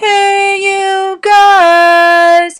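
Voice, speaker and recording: A woman puts on a character voice that is squeaky and extremely high in pitch. Her intonation stays monotone and flat. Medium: read story.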